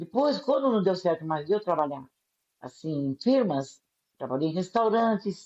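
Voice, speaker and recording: A woman's medium-pitched voice has a dark, mellow tone. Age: 70s. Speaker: elderly caregiver. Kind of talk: interview answer, life story.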